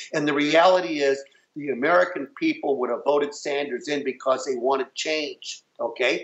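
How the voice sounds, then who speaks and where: An unremarkable speaking voice from a man, pitched fairly high, with ordinary pitch variation. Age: 60s. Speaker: election activist. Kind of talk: interview.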